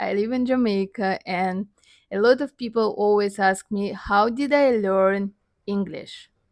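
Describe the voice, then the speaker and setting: A woman with a Russian accent, medium in pitch, fairly slow in pace, fairly even in intonation, on a very clean recording with a silent background. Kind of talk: casual talk to camera.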